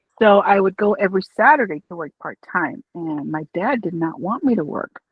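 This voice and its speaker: Someone with an American accent talks at a moderate pace. The intonation is lively. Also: woman, medium pitch for a woman. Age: 60s. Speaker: office worker. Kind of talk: interview. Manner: outgoing.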